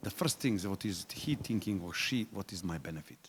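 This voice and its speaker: Lively intonation at a fairly quick pace. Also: man. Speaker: patient representative. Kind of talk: workshop discussion. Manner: loud; fast.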